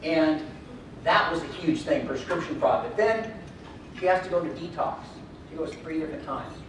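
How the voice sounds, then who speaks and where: A man with a high pitch and lively intonation speaks with long, frequent pauses amid audible room echo and noticeable background noise. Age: 60s. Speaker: motivational speaker. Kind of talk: keynote speech. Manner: fast; energetic.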